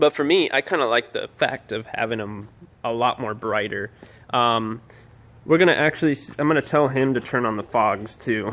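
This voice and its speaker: A man's medium-pitched voice with ordinary pitch variation, at a moderate pace. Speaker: car modding vlogger. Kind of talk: install tutorial vlog. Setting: outdoors by car at apartment complex. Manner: casual, rambling filler words; softer voice in night footage.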